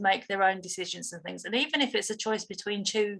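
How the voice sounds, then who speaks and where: This is a woman's voice. She speaks in a British accent. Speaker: dog trainer. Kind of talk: interview. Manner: halting.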